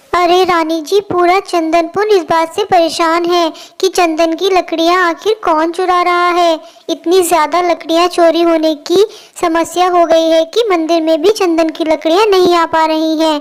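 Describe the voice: This is a cartoonish character voice that sounds female and sits at an extremely high pitch. The intonation stays monotone and flat. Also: moderate pace.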